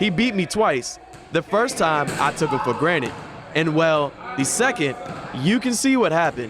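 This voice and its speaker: A man talks at a moderate pace in a high voice with very wide pitch swings and very even loudness. Long, frequent pauses break up his speech against noticeable background noise. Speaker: TV reporter and digital host. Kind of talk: news reporter narration.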